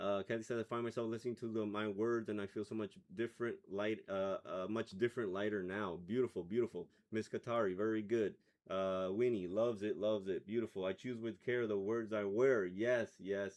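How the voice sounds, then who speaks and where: Fairly low in pitch, a man with an American accent and an unremarkable speaking voice talks at a fairly quick pace with fairly even intonation. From Miami, US. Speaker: meditation livestream host. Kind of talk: reading live chat comments.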